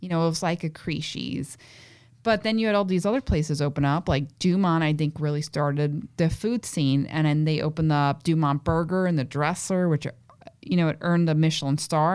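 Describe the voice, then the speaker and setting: A woman with a Brooklyn accent, fairly low in pitch, at a fairly quick pace with ordinary pitch variation. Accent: Brooklyn New York. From Williamsburg, Brooklyn, New York. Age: 30s. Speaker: chef. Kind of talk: casual chat.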